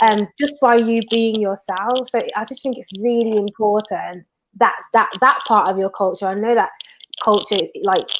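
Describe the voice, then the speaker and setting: A woman with a strong Brummie accent, fairly high in pitch, at a moderate pace with fairly even intonation. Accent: thick Brummie. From Birmingham, England. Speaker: TV industry professional. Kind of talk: casual chat.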